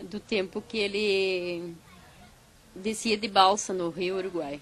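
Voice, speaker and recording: Her medium pitch comes with ordinary pitch variation as the woman speaks. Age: 60s. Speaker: raftsman's daughter, interviewee. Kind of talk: documentary interview.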